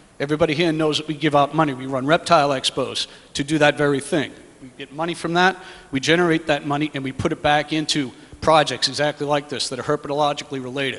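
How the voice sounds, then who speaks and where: A man talks very fast in a fairly high, flat, monotone voice, with big swings in loudness. Noticeable background noise runs underneath. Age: 40s. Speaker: herpetology society president. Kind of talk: public comment at a meeting. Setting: public meeting in a school hall.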